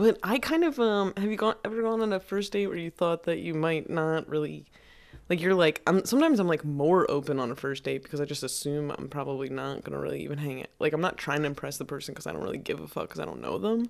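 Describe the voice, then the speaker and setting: Mumbled words at a very fast pace. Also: woman. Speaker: podcast host. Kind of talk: casual chat. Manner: mumbly.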